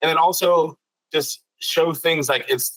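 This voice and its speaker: A man's voice, fairly high in pitch with a bright, sharp tone, shows ordinary pitch variation. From Bermuda. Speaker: YouTuber, cruise vlogger. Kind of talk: interview.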